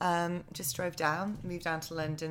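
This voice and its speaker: In a very clean recording with a silent background, a woman with an English accent speaks at a fairly low pitch. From England. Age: 30s. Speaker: on-camera presenter. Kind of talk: casual chat.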